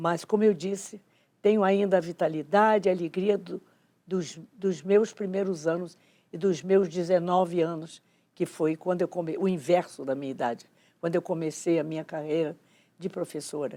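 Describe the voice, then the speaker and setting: At a moderate pace, a woman with a fairly low pitch and a dark, mellow tone speaks with fairly even intonation in a very clean recording with a silent background. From Rio de Janeiro, Brazil. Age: 90s. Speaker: educator. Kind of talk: testimony.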